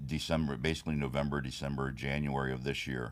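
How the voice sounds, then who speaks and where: Amid audible room echo, a man with a very deep, low pitch and vocal fry speaks very fast in a monotone, flat intonation. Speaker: bodybuilding competitor and trophy business owner. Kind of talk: casual interview.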